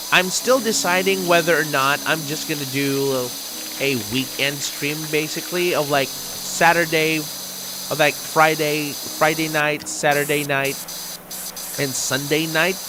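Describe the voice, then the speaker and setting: The speaker has a non-native accent and keeps a fairly slow pace. Noticeable background noise runs underneath. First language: not English. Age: 30s. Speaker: gaming streamer. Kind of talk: casual live-stream monologue while gaming. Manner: hesitant, many ums and ahs.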